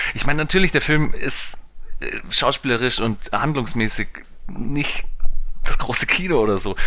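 The man's tone is bright and sharp, and his intonation lively. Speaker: film podcast co-host. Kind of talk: casual chat.

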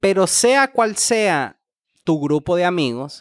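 A voice with a Honduran accent sounds dry and close, with no echo. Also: man. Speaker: podcast host. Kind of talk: casual chat.

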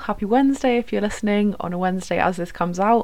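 A woman talks in a British accent. Her pitch is medium, with ordinary variation. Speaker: podcast host, student. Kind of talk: casual chat. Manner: chatty, warm.

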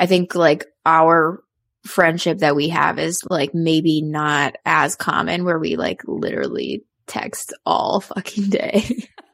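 Very slow speech from a woman on a very clean recording with a silent background. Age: 20s. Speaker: podcast co-host. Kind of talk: casual chat.

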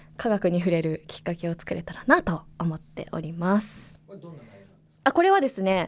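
Speaking with hardly any pauses, a woman uses a fairly low pitch with ordinary pitch variation, while her loudness swings widely. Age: 30s. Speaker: science communicator and associate professor. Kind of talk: casual podcast monologue. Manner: animated.

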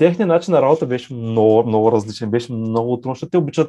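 Against a quiet background, a man speaks at a medium pitch with a dark, mellow tone and ordinary pitch variation. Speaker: startup growth manager. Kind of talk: interview. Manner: halting.

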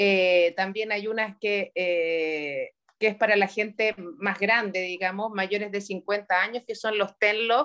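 A woman speaks in a Chilean accent at a medium pitch with fairly even intonation. Her pace is very slow, with hardly any pauses. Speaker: podcast co-host. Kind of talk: casual chat.

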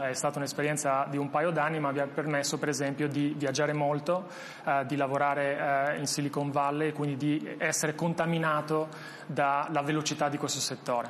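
A man with an Albanian accent, fairly high-pitched and fairly quick, monotone and flat in intonation, with very even loudness. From Albania, moved to Italy at 16. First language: Albanian (speaking Italian). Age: 30s. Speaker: tech startup founder and CEO. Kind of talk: interview. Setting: studio. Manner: halting, frequent repetitions.

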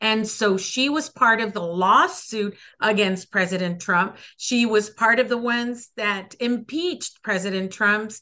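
A woman's fairly high, bright and sharp voice with ordinary pitch variation. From El Paso, Texas. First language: Spanish. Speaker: congressional candidate. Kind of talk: interview answers, political talk.

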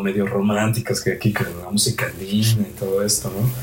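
Noticeable background noise accompanies a man speaking at a moderate pace, with a fairly low pitch and fairly even intonation. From Mexico, Cholula. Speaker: andean folk musician. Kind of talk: casual interview chat.

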